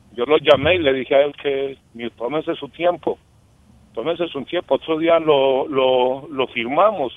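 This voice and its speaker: A man's ordinary speaking voice, fairly high-pitched, at a fairly slow pace. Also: fairly even intonation. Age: 50s. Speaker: caller. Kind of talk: testimony. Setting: phone call.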